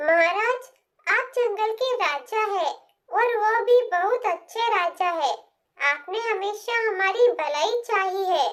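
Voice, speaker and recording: Slowed to a very slow pace, this cartoonish character voice sits at an extremely high pitch. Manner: deferential, polite.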